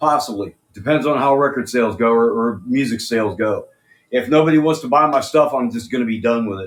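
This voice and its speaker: With an American accent, a man in a plain, everyday voice speaks at a fairly quick pace and medium pitch, using ordinary pitch variation. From USA. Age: 60s. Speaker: rock singer and musician. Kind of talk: interview.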